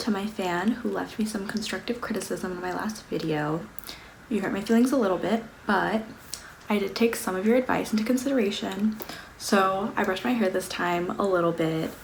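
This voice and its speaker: A woman with an American accent speaks at medium pitch and a fairly quick pace with ordinary pitch variation, amid audible room echo and noticeable background noise. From US West Coast, Los Angeles. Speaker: beauty and lifestyle vlogger. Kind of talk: casual monthly favorites vlog. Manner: casual, filler-heavy (um, like).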